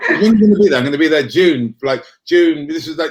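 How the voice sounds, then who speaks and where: Someone speaks at a very fast pace with a British accent. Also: man. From Crete, Greece, schooled in England. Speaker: author. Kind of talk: casual chat. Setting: live stream. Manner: halting, repeats words.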